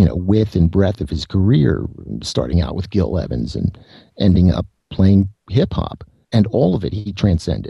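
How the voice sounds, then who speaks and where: This man talks at a moderate pace with a dark, mellow tone and vocal fry, and the sound is dry and close with no echo. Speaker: guest musician and writer. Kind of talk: casual interview chat. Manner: laid-back, unconcerned.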